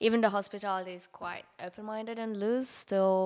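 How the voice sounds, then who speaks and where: A woman speaks with a Mongolian accent at a moderate pace. The recording is very clean, with a silent background. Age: 30s. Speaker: art nude model. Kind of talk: casual interview chat.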